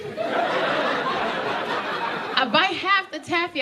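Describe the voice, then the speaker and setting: Against noticeable background noise, a woman speaks in an animated tone. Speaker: stand-up comedian. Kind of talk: stand-up comedy set to a live audience. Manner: animated, expressive, conversational storytelling.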